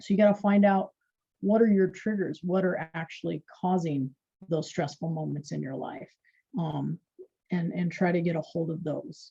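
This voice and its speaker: Somewhat breathy and dark and mellow in tone, a woman with a fairly low pitch talks at a moderate pace with ordinary pitch variation. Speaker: wellness practitioner. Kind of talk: casual chat.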